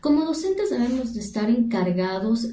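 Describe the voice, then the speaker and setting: Ordinary pitch variation marks the voice, heard with audible room echo and noticeable background noise. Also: woman. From Ecuador. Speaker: university teacher. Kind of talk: monologue talk on education.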